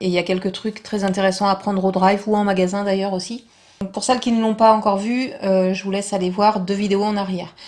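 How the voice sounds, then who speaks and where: A woman at medium pitch talks at a very fast pace in a flat monotone. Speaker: vlogger. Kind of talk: tutorial. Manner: soft-spoken.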